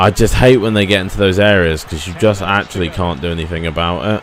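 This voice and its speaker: Against noticeable background noise, a man with a very deep, low pitch speaks at a fairly quick pace. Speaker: gaming youtuber. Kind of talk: gameplay commentary. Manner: stuttering.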